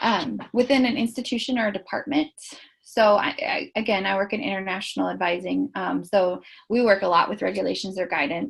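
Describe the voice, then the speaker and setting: Her medium-pitched voice carries vocal fry and lively intonation as this woman speaks. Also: fairly quick pace. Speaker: webinar presenter, international student advisor. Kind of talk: webinar presentation. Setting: online webinar. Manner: loud; hesitant, many ums.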